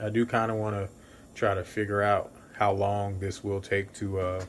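Light background noise sits under the recording. A man speaks at a fairly low pitch. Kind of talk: casual cooking tutorial. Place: kitchen.

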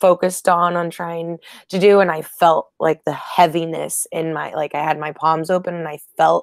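A woman's fairly low, monotone, flat voice at a moderate pace, dry with no echo against a quiet background. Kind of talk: casual sharing of an experience. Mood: happy, reflective. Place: home room. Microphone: earbuds.

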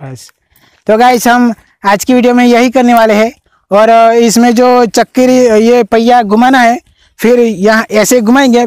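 At an extremely high pitch, a man speaks fairly slowly with fairly even intonation, in a dry sound with no echo and a quiet background. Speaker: video host. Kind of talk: casual vlog chat. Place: farm machine.

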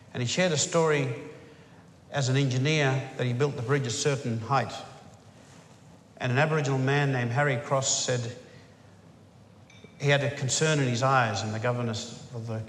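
A man talks at a fairly quick pace with fairly even intonation. Light background noise and audible room echo are present. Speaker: speaker. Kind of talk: formal speech. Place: hall. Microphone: podium.

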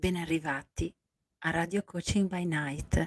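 A woman speaks at a very slow pace with a fairly low pitch and fairly even intonation. The sound is dry with no echo over a quiet background. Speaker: life coach. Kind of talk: late-night radio-style coaching talk. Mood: warm, soft, emotional. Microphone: handheld.

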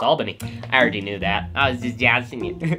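Clear music plays behind a man. He speaks at a very fast pace. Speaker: reaction video creator. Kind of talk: casual reaction commentary. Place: home room. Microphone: earbuds.

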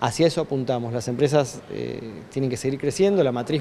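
A man speaks in an unremarkable speaking voice at a medium pitch, with ordinary pitch variation. His pace is moderate, and there is light background noise. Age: 40s. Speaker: tech industry representative. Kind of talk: news interview. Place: office. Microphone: handheld.

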